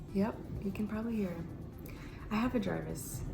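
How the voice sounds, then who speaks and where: A woman with an American accent, with music in the background and audible room echo. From US, Romanian immigrant family. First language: Romanian. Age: 30s. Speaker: lifestyle vlogger. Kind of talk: casual vlog monologue. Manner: animated.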